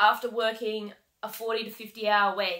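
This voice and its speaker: In an Australian accent, a woman speaks at a very slow pace against a quiet background. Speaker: heavy vehicle mechanic and coach. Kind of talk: vlog monologue. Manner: casual, many fillers. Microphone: webcam.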